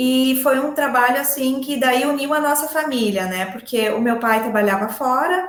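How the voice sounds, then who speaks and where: A woman speaks at a high pitch and moderate pace with ordinary pitch variation, with audible room echo. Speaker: agronomist and poultry farm manager. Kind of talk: interview. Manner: hesitant, many fillers.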